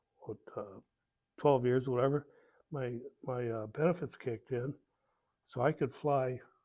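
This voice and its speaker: A man's medium-pitched voice with an American accent and a dark, mellow tone, fairly slow and even in intonation, with long, frequent pauses. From Ohio, US Midwest. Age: 70s. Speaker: war veteran. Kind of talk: oral history interview. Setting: veterans hall. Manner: halting, many fillers.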